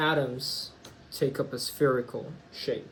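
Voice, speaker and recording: His pitch sits at a medium level. The man's intonation stays monotone and flat. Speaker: chemistry teacher. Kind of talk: recorded lesson. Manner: slow; casual, hesitant.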